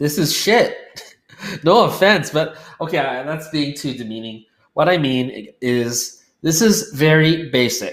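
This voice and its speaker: Audible room echo around a fairly slow man's voice pitched fairly high. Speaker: online publishing coach. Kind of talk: screen-share tutorial. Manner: casual.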